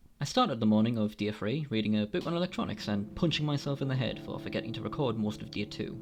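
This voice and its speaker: Very fast speech with very wide pitch swings plays over music in the background. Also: man. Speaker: gaming commentator. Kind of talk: humorous gameplay narration.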